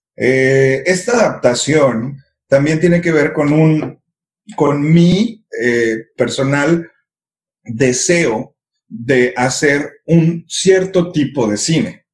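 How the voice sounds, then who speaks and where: Speaking at a very slow pace, a man with a fairly high pitch sounds somewhat breathy and uses ordinary pitch variation. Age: 30s. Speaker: filmmaker. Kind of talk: casual chat.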